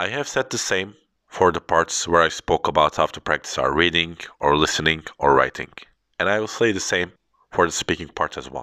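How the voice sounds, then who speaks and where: The speaker has a Turkish accent and a fairly quick pace. The recording is very clean and silent behind the voice, with a dry, close sound and no echo. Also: man. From Turkey. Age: 30s. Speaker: English tutor. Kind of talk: educational podcast monologue.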